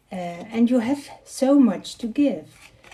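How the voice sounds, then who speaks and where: A woman with a Dutch accent at a very slow pace, over noticeable background noise. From Netherlands. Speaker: card reader. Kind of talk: live tarot reading. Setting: livestream. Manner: halting.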